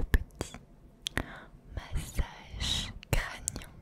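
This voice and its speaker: A woman is speaking. She whispers throughout. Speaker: ASMR creator. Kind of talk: ASMR video, slow tapping and whispering. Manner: soft, whispered, slow. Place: home room. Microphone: studio mic.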